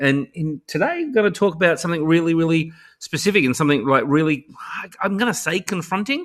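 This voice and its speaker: Over a quiet background, a man with an Australian accent speaks at a fairly quick pace, his tone bright and sharp and his intonation lively. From Australia, Sydney. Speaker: education technology advocate and author. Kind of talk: podcast interview. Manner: halting, many repeated words; animated.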